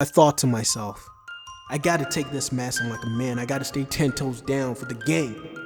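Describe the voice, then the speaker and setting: A man talks at a moderate pace as music sounds behind him. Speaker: animated storyteller. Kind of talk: casual animated storytime, first-person personal anecdote. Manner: casual, conversational, slangy, expressive.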